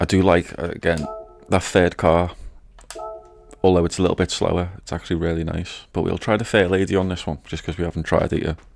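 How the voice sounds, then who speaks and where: Speaking fairly quickly in a British accent, a man has a very deep, low pitch and monotone, flat intonation. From Britain. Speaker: gaming streamer. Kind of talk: live gameplay commentary.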